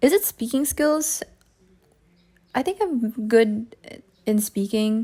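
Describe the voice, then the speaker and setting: Her intonation is lively and her tone dark and mellow as a woman speaks in a Filipino accent. Her pace is very slow, with long, frequent pauses. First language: Tagalog. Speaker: digital artist. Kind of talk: casual voiceover while drawing. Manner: halting, thinking aloud.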